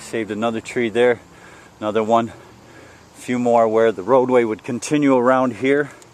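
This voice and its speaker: Noticeable background noise behind a man at medium pitch and a moderate pace. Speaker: vlogger doing land clearing work. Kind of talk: walking tour vlog. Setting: outdoors, walking on a worksite. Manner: casual, conversational.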